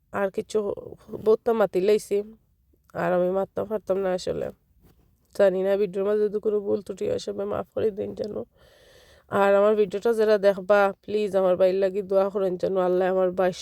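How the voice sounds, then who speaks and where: A woman at a medium pitch speaks with a dark, mellow tone in a monotone, flat intonation, with a dry, close sound with no echo. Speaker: vlogger. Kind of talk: personal vlog, emotional account.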